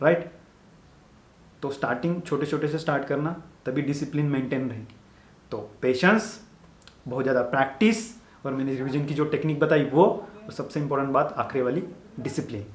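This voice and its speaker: In a Marathi accent, a man talks at a fairly high pitch with ordinary pitch variation and long, frequent pauses. Audible room echo surrounds his voice. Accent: Marathi-accented Hindi. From Maharashtra, India (village). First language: Marathi (speaking Hindi). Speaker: medical student YouTuber. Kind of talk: motivational advice talk. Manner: casual, repetitive conversational.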